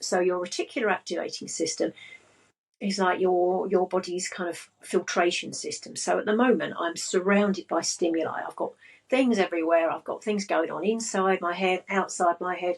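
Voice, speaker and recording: With fairly even intonation, a woman speaks at a medium pitch. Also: moderate pace. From England. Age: 60s. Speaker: business and money coach. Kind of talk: casual chat.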